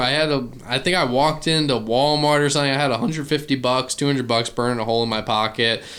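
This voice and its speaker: This man has a fairly high pitch and a bright, sharp tone. He speaks with a slight Southern US accent. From Virginia, US. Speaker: duck hunter and YouTuber. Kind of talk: casual interview.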